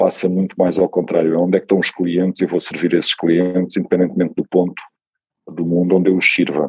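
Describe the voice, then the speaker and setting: Through a dry, close sound with no echo, a man with a very deep, low pitch speaks at a fairly quick pace in a monotone, flat intonation. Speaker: tech company CEO. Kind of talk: interview.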